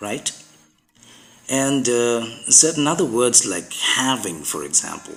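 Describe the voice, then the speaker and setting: A man at medium pitch, very slow with long, frequent pauses and very wide pitch swings, music playing in the background. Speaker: podcaster teaching English usage. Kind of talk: educational talk.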